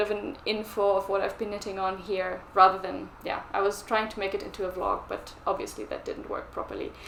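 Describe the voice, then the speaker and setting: In a German accent, a woman speaks at a medium pitch and moderate pace with monotone, flat intonation, amid noticeable background noise and audible room echo. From Germany. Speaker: knitting vlogger. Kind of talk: casual vlog chat.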